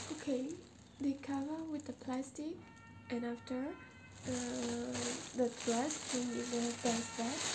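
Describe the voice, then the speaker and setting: A woman speaks with long, frequent pauses over loud background noise. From Myanmar. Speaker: first-time vlogger. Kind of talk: casual talk to camera. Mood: shy, excited. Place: home room. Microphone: camera far.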